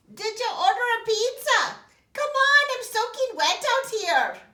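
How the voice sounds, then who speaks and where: In a put-on character voice, the speaker uses an extremely high, squeaky pitch at a fairly slow pace. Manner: impatient, complaining.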